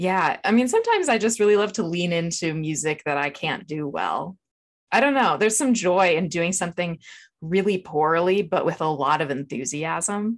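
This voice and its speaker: A woman talks in a plain, everyday voice, fairly low-pitched, with lively intonation at a moderate pace. The background is quiet. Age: 30s. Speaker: writer and podcast producer. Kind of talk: casual chat.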